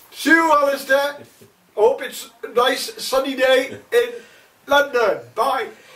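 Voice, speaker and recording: A man's extremely high-pitched, raised and projected voice, very slow, with lively intonation over noticeable background noise. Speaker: parody field reporter. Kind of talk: comedic parody news report.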